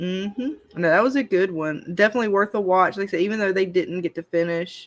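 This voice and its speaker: A woman's medium-pitched voice with a Southern accent at a very fast pace, with ordinary pitch variation. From Alabama. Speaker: live stream host. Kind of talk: casual chat.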